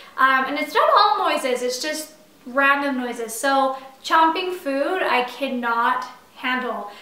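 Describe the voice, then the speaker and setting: A woman speaks in a raised, projected voice with a high pitch and ordinary pitch variation. Noticeable background noise and audible room echo fill the recording. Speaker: doula. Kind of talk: casual chat. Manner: casual, animated.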